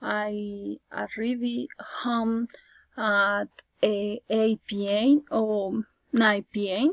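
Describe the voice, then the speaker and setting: The woman's pitch is fairly high. She keeps her intonation fairly even. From Colombia. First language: Spanish. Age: 20s. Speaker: student. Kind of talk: class presentation, prepared speech.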